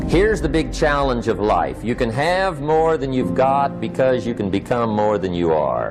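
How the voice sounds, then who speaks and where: With music in the background, a man with an American accent talks at a moderate pace with hardly any pauses, his medium-pitched voice making very wide pitch swings. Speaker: motivational speaker. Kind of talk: live seminar talk.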